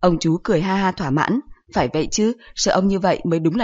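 Reading aloud in a natural voice, the speaker lets the pitch rise and fall in an ordinary way.

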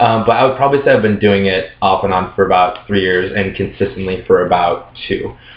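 This man has a plain, everyday voice, fairly low in pitch. He speaks with hardly any pauses and fairly even intonation. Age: 20s. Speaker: male model and former go-go dancer. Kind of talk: casual chat.

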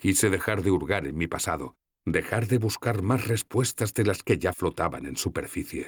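Simple reading out loud against quiet surroundings

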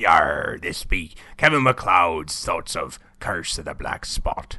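Using a raspy, put-on character voice, a man performs. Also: fairly slow pace. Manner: playful.

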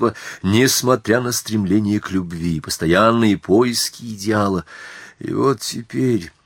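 An unforced reading voice, pitch varying in the usual way.

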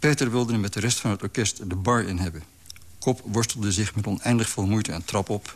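Here the speaker uses an unforced reading voice.

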